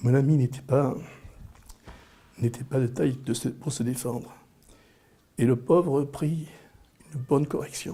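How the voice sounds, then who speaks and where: A man with a dark, mellow, somewhat breathy voice speaks fairly slowly in a flat monotone, leaving long, frequent pauses. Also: medium pitch for a man. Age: 60s. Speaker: interviewee. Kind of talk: personal storytelling. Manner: halting, with repetitions.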